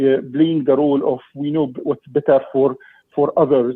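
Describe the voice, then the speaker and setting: A man speaks with an Egyptian accent. His pitch is fairly high. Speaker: parent delegate. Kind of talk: public meeting delegation. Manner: halting, many repetitions.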